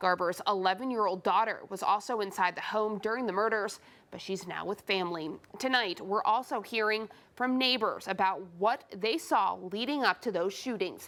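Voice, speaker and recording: A woman with a plain, everyday voice, medium pitch, ordinary pitch variation and an American accent, at a moderate pace in a very clean recording with a silent background. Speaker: television news anchor. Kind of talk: TV news anchor delivery. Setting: TV news studio. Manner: clear, serious, measured.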